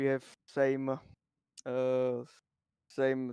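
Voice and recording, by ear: A man at medium pitch, with monotone, flat intonation, a very slow pace, a dark, mellow tone, a clear, smooth tone and a dry, close sound with no echo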